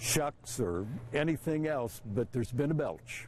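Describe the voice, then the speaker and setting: Speaking very slowly with lively intonation, a man with an American accent is heard in a dry sound with no echo and light background noise. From United States, Indiana. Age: 60s. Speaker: public address announcer. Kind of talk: interview answer. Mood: amused, storytelling. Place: stadium.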